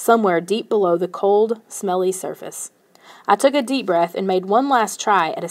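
An unforced reading voice makes up the recording.

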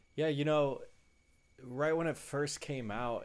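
The man's pitch varies in an ordinary way. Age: 30s. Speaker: sports podcast co-host; podcast co-host. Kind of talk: casual chat. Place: home room. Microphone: headset.

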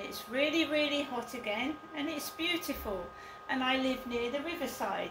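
Noticeable background noise behind a woman talking at a moderate pace. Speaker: vlogger. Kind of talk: casual vlog chat. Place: home room. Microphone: camera far.

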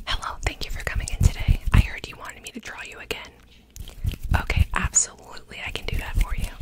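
A woman's very fast whispering. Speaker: ASMR creator. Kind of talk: ASMR roleplay, personal attention. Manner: fast, upbeat, excited. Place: home room. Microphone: studio mic.

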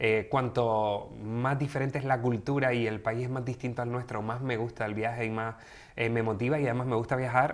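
The speaker is a man at a moderate pace. His intonation is monotone and flat. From Canary Islands (Gran Canaria). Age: 30s. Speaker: sexologist and social worker. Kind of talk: interview conversation. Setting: studio. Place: studio. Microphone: studio mic.

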